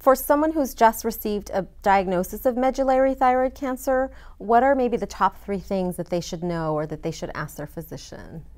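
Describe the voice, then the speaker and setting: A woman's fairly high voice at a moderate pace, with very wide pitch swings and big shifts in loudness, over a quiet background. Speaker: interviewer. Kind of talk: interview. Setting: conference. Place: studio. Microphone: lapel.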